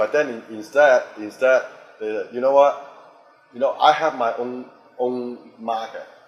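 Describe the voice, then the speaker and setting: With noticeable noise in the background, a man at a medium pitch speaks at a fairly slow pace, his intonation fairly even and his speech broken by long, frequent pauses. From Hong Kong, raised in Boston. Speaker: actor, director, fight choreographer. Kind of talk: interview answer.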